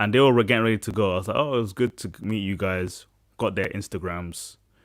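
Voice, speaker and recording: A man with a British accent at a moderate pace with ordinary pitch variation, on a very clean recording with a silent background. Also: dry, close sound with no echo. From UK. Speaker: podcast host. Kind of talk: casual chat. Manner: animated.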